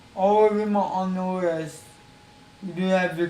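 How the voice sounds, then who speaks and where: This man's voice sits high in pitch, moving at a fairly slow pace with fairly even intonation, and the recording carries audible room echo and noticeable background noise. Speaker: gaming streamer. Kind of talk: casual video introduction to a game challenge. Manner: repetitive.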